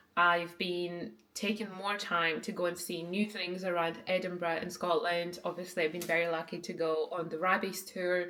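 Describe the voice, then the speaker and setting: Her tone bright and sharp, a woman speaks at a moderate pace with fairly low pitch. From Ukraine. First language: Ukrainian. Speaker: vlogger. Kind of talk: casual vlog talk to camera. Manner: chatty, lots of filler words.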